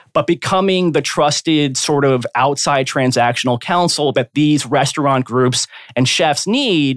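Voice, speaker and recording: In a dry, close recording with no echo, a man with an ordinary speaking voice talks fairly slowly at a fairly high pitch, with ordinary pitch variation and very even loudness. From South Florida. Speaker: corporate and real estate lawyer. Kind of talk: podcast interview.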